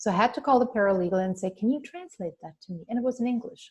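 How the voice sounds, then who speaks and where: A woman speaks with a non-native accent in a somewhat breathy voice. Her pitch varies in an ordinary way. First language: not English. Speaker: business coach. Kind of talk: webinar training. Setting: online screen share.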